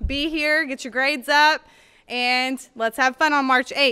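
A woman speaks in a raised, projected voice with a bright, sharp tone. The background is quiet. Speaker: school staff announcer. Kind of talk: school announcements. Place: hall. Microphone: studio mic.

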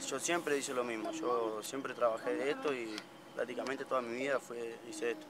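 A man with an Argentine accent speaks at a fairly quick pace with fairly even intonation. The sound is dry with no echo, though there is noticeable background noise. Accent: Rioplatense Argentine Spanish. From Buenos Aires province, Argentina. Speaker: homeless father walking with his family. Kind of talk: street interview. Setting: outdoors by the roadside. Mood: earnest, somewhat weary. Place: open country.

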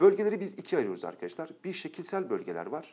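Talking very fast, this man is heard over a quiet background. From Turkey. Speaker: geography teacher. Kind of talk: lecture. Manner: animated.

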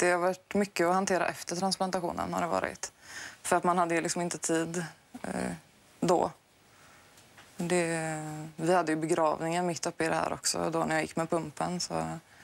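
The speaker uses monotone, flat intonation, broken by long, frequent pauses. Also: woman, fairly low pitch for a woman, moderate pace. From Sweden. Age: 20s. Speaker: heart transplant patient guest. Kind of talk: TV interview. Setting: TV studio. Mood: reflective, personal story. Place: studio. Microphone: lapel.

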